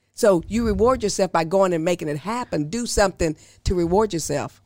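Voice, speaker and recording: An unremarkable speaking voice from a woman at a moderate pace, with ordinary pitch variation, on a very clean recording with a silent background. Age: 50s. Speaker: financial advisor, former respiratory therapist. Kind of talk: casual interview, explaining finances.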